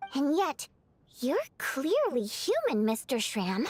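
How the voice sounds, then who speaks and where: A female-sounding voice puts on a bubbly character voice at a moderate pace. Her pitch swings very widely. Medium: video game. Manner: bubbly, expressive.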